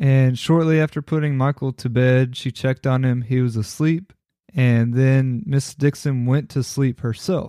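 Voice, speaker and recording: A man talks at a fairly slow pace and medium pitch, his tone dark and mellow. Loudness is very even, intonation fairly even, and the sound dry and close with no echo. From Kentucky. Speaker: podcast host. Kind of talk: scripted narration.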